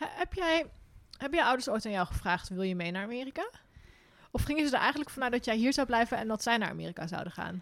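Very fast speech with very wide pitch swings comes through on a very clean recording with a silent background. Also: woman, high pitch for a woman. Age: 30s. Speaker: podcast host, hiker and travel writer. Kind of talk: casual interview. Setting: indoor recording in Arnhem.

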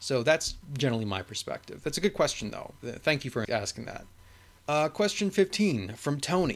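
At a moderate pace, a man talks in an ordinary speaking voice with lively intonation. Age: 20s. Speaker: history podcaster. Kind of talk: solo Q&A monologue. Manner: casual with many filler words.

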